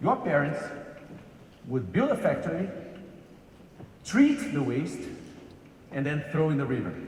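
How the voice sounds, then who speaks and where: With a Brazilian accent, a man speaks at a fairly slow pace, leaving long, frequent pauses. Noticeable background noise and audible room echo surround his voice. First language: Portuguese. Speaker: corporate executive. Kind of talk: keynote lecture. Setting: stage with large audience. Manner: halting with fillers.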